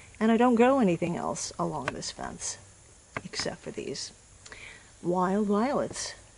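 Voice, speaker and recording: Noticeable background noise sits behind a woman who speaks at a fairly slow pace. Her loudness swings widely, and she leaves long, frequent pauses. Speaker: gardener. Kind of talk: gardening tutorial narration.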